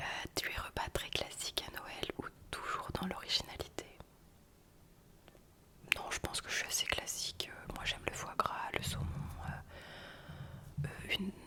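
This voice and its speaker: Whispering amid noticeable background noise, a woman leaves long, frequent pauses. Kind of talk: ASMR whispered casual talk to camera. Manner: whispered, soft-spoken, intimate.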